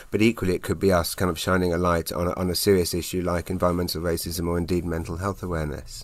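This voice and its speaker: On a very clean recording with a silent background, a man with a very deep, low pitch talks at a very fast pace in a monotone, flat intonation, with hardly any pauses. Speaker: magazine editor. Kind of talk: casual interview chat.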